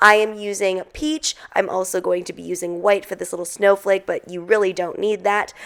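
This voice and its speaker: A woman's unremarkable speaking voice at a medium pitch, moderate pace and fairly even intonation, with big swings in loudness and hardly any pauses. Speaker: baking tutorial youtuber. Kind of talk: tutorial.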